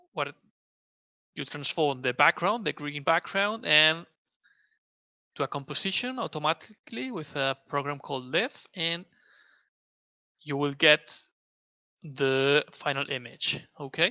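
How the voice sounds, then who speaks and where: On a very clean recording with a silent background, a man with a fairly high pitch and a bright, sharp tone speaks with a Spanish accent, ordinary pitch variation and long, frequent pauses. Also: dry, close sound with no echo. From Spain. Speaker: mixed reality video producer. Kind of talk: live stream tutorial. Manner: halting.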